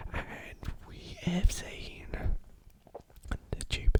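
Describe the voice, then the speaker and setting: A man whispers in a playful tone over noticeable background noise. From England. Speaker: ASMR creator. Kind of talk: casual talk to camera. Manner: rambling, playful, repetitive.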